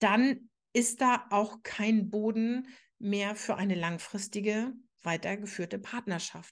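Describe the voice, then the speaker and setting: A woman speaks against a quiet background. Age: 40s. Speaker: podcast host, astrologer and relationship coach. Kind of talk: solo podcast monologue.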